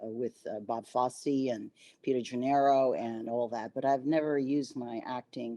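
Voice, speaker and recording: In a very deep, low voice with a dark, mellow tone, a woman talks at a fairly slow pace with fairly even intonation. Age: 70s. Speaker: actress and dancer. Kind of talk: interview. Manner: halting, many fillers.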